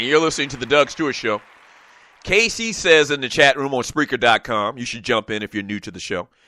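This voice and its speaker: Over crowd noise in the background, a man talks at a fairly quick pace in a bright, sharp, animated tone, his fairly high pitch making very wide swings. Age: 40s. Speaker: sports talk radio host. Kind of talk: casual sports talk show. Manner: filler-heavy, frequent uh and um.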